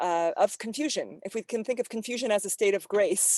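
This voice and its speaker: On a very clean, dry, close recording with no echo and a silent background, a woman with an American accent and an unremarkable speaking voice talks at a moderate pace with ordinary pitch variation. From California. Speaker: environmental performer and presenter. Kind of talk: Q&A discussion after presentation.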